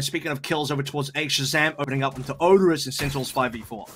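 Talking at a very fast pace over noticeable background noise, a man uses a fairly high pitch with ordinary pitch variation. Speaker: esports commentator. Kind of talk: live esports commentary, co-caster analysis and play-by-play. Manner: brisk, clipped, fast delivery that calls out health and kills.

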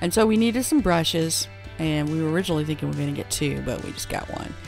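Faint music plays in the background of this dry recording with no echo. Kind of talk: casual vlog chat. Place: shop. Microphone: phone near.

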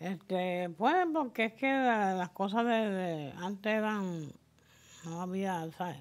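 On a very clean recording with a silent background, a woman of medium pitch talks at a very slow pace with lively intonation. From Puerto Rico, Culebra. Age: 70s. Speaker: interviewee in a community oral history. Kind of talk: oral history interview. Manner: halting, many repetitions and fillers.

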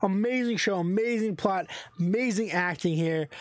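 The intonation is lively, with a quiet background and a dry sound that has no echo. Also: man. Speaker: channel host reviewer. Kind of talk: casual review commentary. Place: home room. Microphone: studio mic.

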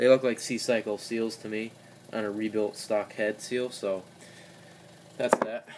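A man speaks at a fairly slow pace with long, frequent pauses. His intonation is monotone and flat over noticeable background noise. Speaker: DIY mechanic. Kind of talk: tutorial. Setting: home garage workshop. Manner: casual, halting. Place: workshop. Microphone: phone near.

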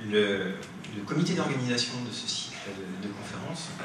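The speech moves at a fairly slow pace, with noticeable background noise and audible room echo. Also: man. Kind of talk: lecture introduction. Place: classroom.

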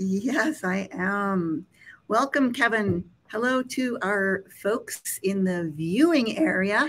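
Very slowly, a woman speaks with lively intonation. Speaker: nonprofit executive director, interviewer. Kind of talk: interview conversation. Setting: live stream video call. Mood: warm, smiling. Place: home room.

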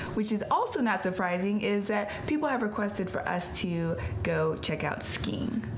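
A woman speaks at a moderate speed against light background noise. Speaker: travel show co-host. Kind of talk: show intro to camera. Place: home room.

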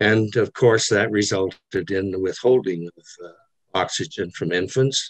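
At a moderate pace, a man speaks with a very deep, low pitch and fairly even intonation, in a dry sound with no echo against a quiet background. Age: 80s+. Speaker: retired ophthalmologist, audience member; audience member. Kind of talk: audience comment at virtual symposium. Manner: halting, many fillers. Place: home room. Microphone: webcam.

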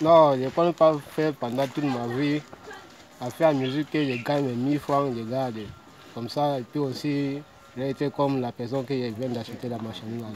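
A man at a moderate pace, dry sound with no echo, and light background noise. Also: fairly even intonation. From Cameroon, South-West Region (Buea/Limbe). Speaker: street fruit vendor. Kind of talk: interview. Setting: outdoors. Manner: halting. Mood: relaxed, friendly. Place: street. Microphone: phone near.

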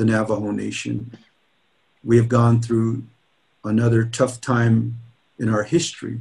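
A man's dark, mellow, somewhat breathy voice at a fairly slow pace against a quiet background. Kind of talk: keynote speech. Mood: earnest, rallying. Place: office. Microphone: webcam.

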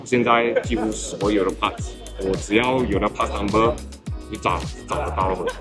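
Over clear music in the background, a man talks at a moderate pace. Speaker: interviewee. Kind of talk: interview answer. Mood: relaxed, enthusiastic. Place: street. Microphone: phone near.

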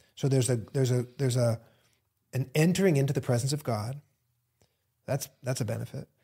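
Fairly quick between long, frequent pauses, a man speaks at a medium pitch in a dark, mellow, somewhat breathy tone with fairly even intonation. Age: 40s. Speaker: pastor and book co-author. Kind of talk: casual theological discussion.

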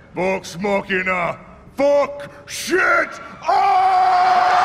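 A man performs in a put-on character voice. Clear background noise runs underneath. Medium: actual play. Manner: loud, gruff, triumphant.

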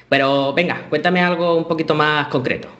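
Light background noise sits behind a man with a Spanish accent talking at a fairly quick pace. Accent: Spanish (Spain). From Spain, Málaga; Spain. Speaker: computer science teacher and developer; computer science teacher. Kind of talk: conference talk. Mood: relaxed, humorous. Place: home room. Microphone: headset.

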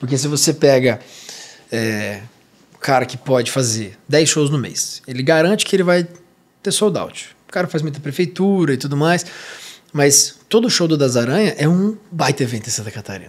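A fairly high-pitched man with lively intonation at a moderate pace. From interior of São Paulo state, Brazil. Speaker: podcast host. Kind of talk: casual interview. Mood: relaxed, reflective. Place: studio. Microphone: studio mic.

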